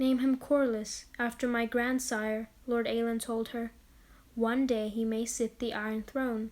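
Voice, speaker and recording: A woman speaks in a flat monotone at a fairly slow pace. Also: fairly high pitch for a woman. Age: student. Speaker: lore video narrator. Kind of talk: narrated lore reading; casual outro chat.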